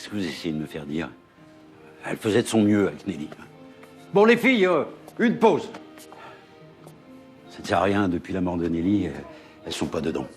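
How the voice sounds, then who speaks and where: Music plays in the background as a man talks at a fairly quick pace. He leaves long, frequent pauses. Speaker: actor. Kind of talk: TV drama scene.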